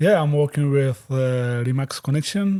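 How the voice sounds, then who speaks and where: A man speaks in a West African accent with a dark, mellow tone. The recording is very clean with a silent background. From Guinea, West Africa. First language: Fulani. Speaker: real estate agent. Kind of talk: interview. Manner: halting, many fillers.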